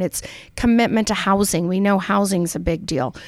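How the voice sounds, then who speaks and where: A woman with an American accent and a plain, everyday voice speaks at medium pitch and a fairly quick pace with ordinary pitch variation, on a very clean recording with a silent background. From Utah, Salt Lake City. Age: 50s. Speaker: politician. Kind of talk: interview.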